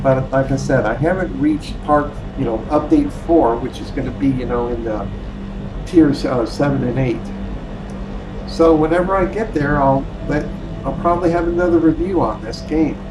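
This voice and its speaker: A man talks at a moderate pace. Room echo is audible and background noise is noticeable. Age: 60s. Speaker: gaming YouTuber. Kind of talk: game review commentary. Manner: halting, many fillers.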